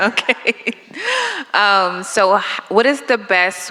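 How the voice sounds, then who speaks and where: Against noticeable background noise, a woman speaks at a fairly slow pace with lively intonation. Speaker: workshop attendee. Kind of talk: audience question. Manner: loud.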